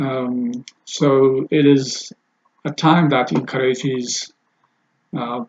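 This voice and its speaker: Very slowly and with long, frequent pauses, a man talks at a medium pitch with fairly even intonation. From Ethiopia. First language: Amharic. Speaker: language teacher and translator. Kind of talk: casual video introduction. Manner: halting, many fillers.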